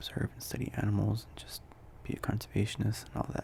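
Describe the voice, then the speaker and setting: A man whispers in a relaxed tone against noticeable background noise. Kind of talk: ASMR ramble, casual talk to camera. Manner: soft-spoken, relaxed, rambling.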